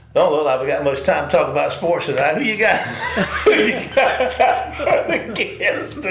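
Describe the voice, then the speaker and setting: A man talks at a moderate pace with a Southern US accent. Audible room echo and noticeable background noise fill the recording. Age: 60s. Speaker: sports radio co-host. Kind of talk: casual chat.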